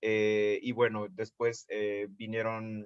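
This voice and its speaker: The recording is dry and close with no echo. A man speaks at medium pitch with a bright, sharp tone. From Mexico, Veracruz. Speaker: photographer and artist. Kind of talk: interview. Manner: hesitant, many fillers.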